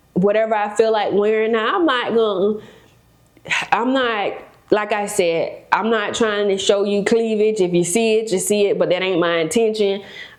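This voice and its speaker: A woman with an American accent speaks at a fairly high pitch, with audible room echo and noticeable background noise. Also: moderate pace. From South Florida, West Palm Beach. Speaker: real estate broker and developer. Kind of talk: podcast interview. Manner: animated.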